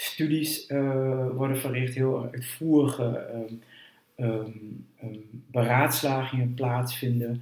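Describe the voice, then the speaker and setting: A man speaks very slowly at medium pitch with fairly even intonation, a dark, mellow tone and a somewhat breathy quality. Audible room echo is present. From eastern Netherlands, Twente. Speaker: historian, university director. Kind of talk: interview. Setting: at his home.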